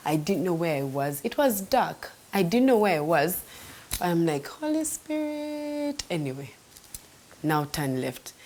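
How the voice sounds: The pitch swings widely and the tone is slightly mellow. The pace is fairly slow. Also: woman, fairly low pitch for a woman.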